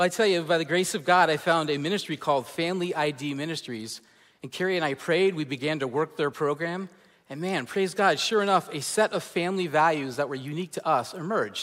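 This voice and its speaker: On a very clean recording with a silent background, a man speaks in a plain, everyday voice, fairly high pitched with ordinary pitch variation, at a fairly quick pace. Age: 40s. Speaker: pastor. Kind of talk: sermon. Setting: church.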